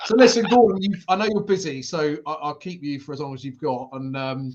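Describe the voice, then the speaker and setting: With a British accent, a man talks at a fairly quick pace in a fairly high pitch with lively intonation. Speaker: event industry show host. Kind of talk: live interview. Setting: live stream.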